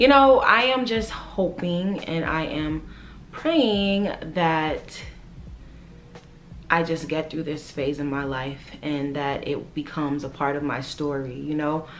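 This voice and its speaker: Speaking at a very slow pace with long, frequent pauses, a woman with an American accent has a very deep, low pitch and ordinary pitch variation, with audible room echo and noticeable background noise. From New York, the Bronx, Jamaican household. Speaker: lifestyle vlogger. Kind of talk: casual vlog monologue. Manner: casual, many fillers.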